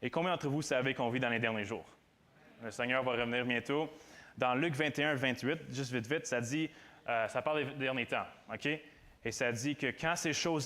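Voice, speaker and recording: A man speaks at a medium pitch and a moderate pace. His tone is bright and sharp, and his intonation fairly even. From Quebec, Granby area. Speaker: student preacher. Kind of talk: sermon. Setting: church with audience. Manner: halting, many repetitions.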